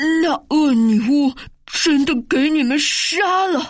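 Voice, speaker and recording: A woman puts on a character voice at a high pitch. She sounds shaky and speaks at a very slow pace. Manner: trembling.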